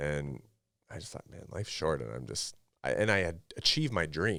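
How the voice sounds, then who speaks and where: On a very clean recording with a silent background, a man with a Canadian accent speaks at a moderate pace in a very deep, low pitch, with lively intonation, big swings in loudness and vocal fry. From western Canada (Revelstoke, British Columbia). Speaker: former pro hockey player and performance coach. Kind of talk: podcast interview. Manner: casual.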